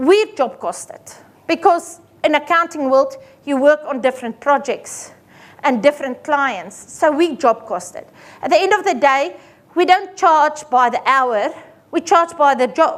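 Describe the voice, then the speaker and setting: With an Afrikaans accent, a woman speaks at a high pitch and a fairly slow pace. Her intonation is lively, and her loudness swings widely. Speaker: accountant. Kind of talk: seminar presentation. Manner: animated.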